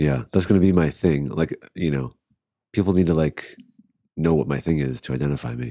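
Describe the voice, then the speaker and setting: Despite long, frequent pauses, a man with a very deep, low pitch and a dark, mellow tone talks at a fairly quick pace. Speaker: podcast co-host. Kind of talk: casual chat. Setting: remote recording on laptop. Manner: deadpan, joking.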